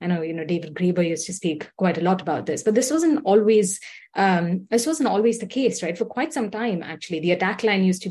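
The background is quiet as a woman talks at a fairly quick pace. Her tone is dark and mellow, with lively intonation. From India. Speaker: policy coordinator, activist. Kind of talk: rally speech. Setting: video call.

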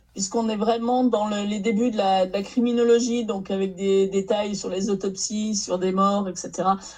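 A woman speaks at a fairly slow pace in a medium pitch, her intonation flat and monotone, over noticeable background noise. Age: 60s. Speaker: novelist. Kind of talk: casual chat.

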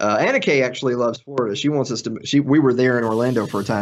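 A man with a Tennessee accent at a very fast pace, medium in pitch, with fairly even intonation. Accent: Southern US (Tennessee). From US South, Middle Tennessee. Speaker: podcaster. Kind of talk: casual chat.

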